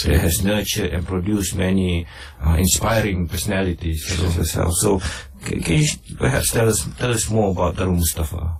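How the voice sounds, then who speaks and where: Against noticeable background noise, a man with a very deep, low pitch talks at a fairly quick pace, with ordinary pitch variation. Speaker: research officer and radio interviewer. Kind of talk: radio interview host.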